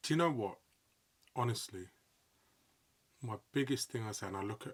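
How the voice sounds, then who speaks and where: The voice belongs to a man and is somewhat breathy. He speaks at a fairly quick pace. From London, England. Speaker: sports commentator and presenter. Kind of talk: podcast interview. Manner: animated, excitable.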